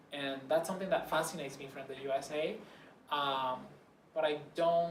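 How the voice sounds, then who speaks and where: With a Spanish accent, a man speaks at a moderate pace and a fairly high pitch with fairly even intonation, amid audible room echo and noticeable background noise. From Puerto Rico. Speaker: interviewee. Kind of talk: interview. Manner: halting.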